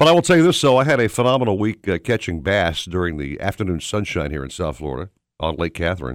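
A man with vocal fry and very wide pitch swings speaks at a fairly quick pace, recorded very cleanly against a silent background with a dry, close sound and no echo. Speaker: radio host. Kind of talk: casual chat. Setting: studio. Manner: animated.

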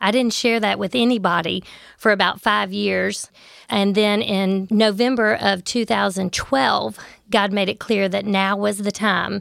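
In a Southern US accent, a woman speaks at a moderate pace with medium pitch and fairly even intonation. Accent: Southern American. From US South, Memphis, Tennessee. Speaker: maternity home co-founder. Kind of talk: interview. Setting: studio.

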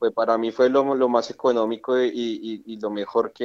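The delivery is monotone and flat, with a dry, close sound and no echo. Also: man. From Colombia, Bogotá. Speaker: electronics engineer, former au pair. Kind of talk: casual interview. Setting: phone call.

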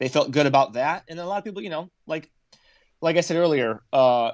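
A man speaks in a plain, everyday voice with an American accent, fairly high pitch and lively intonation. The sound is dry and close with no echo, against a quiet background. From Michigan. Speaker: war veteran. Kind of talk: interview.

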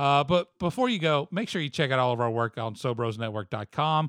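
A plain, everyday voice from a man, fairly high in pitch with ordinary variation, dry and close with no echo against a quiet background. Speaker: podcast host. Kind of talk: casual chat. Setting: studio.

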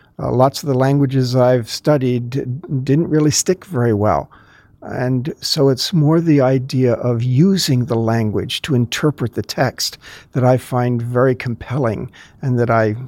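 A man's plain, everyday voice, medium in pitch, with an American accent, moderate pace and ordinary pitch variation, in a very clean recording with a silent background and a dry, close sound with no echo. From US Northeast, suburbs of Philadelphia. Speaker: professor of Old Testament. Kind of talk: interview.

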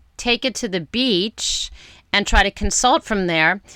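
Bright and sharp in tone, a woman speaks with lively intonation in a dry, close sound with no echo, on a very clean recording with a silent background. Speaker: author and former attorney. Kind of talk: interview.

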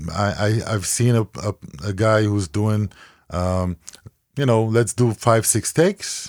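In a very clean recording with a silent background, a man with an Israeli accent speaks at a fairly slow pace in a fairly low voice with ordinary pitch variation, the sound dry and close with no echo. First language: Hebrew. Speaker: music producer and mixing engineer. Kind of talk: interview. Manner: halting.

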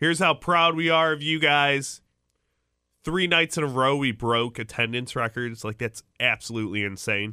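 This is a man with an ordinary speaking voice and an American accent. His pace is moderate and his pitch varies in an ordinary way. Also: fairly high pitch for a man. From Chicago. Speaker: sports podcast host. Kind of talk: casual chat.

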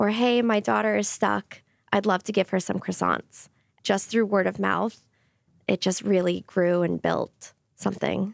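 Recorded with a dry, close sound and no echo, a woman speaks fairly slowly at a very even loudness. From Long Island, New York. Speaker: nurse and bakery co-owner. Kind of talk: casual interview. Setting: studio.

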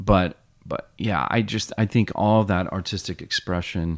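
With a Southern US accent, a man speaks at a fairly low pitch with ordinary pitch variation. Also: very clean recording, silent background. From US South, South Carolina. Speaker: filmmaker. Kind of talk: interview conversation. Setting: chapel.

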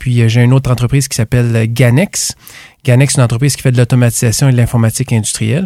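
A man's very fast, medium-pitched delivery with a dark, mellow tone and fairly even intonation, in a dry, close sound with no echo. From Quebec, Gaspésie. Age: 40s. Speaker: business owner. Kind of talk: interview. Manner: halting.

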